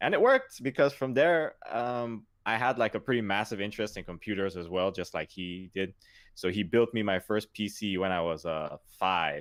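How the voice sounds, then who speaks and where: A man with a Nigerian accent speaks at a moderate pace with a fairly low pitch and ordinary pitch variation. The recording is very clean, with a silent background. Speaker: gamer, podcast guest. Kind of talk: casual chat.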